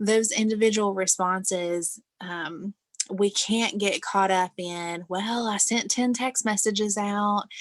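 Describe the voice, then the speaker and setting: An unremarkable speaking voice from a woman of medium pitch, fairly slow and fairly even in intonation, on a very clean recording with a silent background. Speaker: sales team trainer. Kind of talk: training session.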